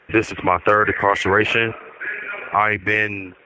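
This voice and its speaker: A man speaks at a fairly slow pace in a fairly low pitch. Noticeable background noise is present. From Milwaukee. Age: 30s. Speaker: incarcerated man. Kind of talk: interview testimony.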